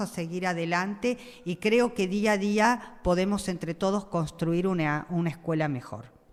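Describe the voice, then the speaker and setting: The speaker keeps a fairly slow pace. Pitch varies in an ordinary way. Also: woman. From Argentina, Buenos Aires (Flores). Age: 60s. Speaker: school principal. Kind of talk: interview. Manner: hesitant, many fillers.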